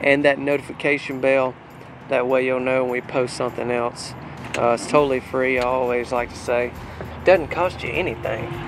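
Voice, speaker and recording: A man talks at a moderate pace with monotone, flat intonation. The sound is dry with no echo, and music plays in the background. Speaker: home sales channel host. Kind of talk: casual vlog chat. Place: street. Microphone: phone near.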